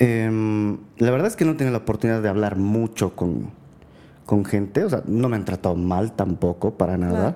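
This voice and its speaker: A man's fairly low voice, dark and mellow in tone, at a moderate pace with ordinary pitch variation. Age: 30s. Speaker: gem and mineral collector. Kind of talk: casual chat.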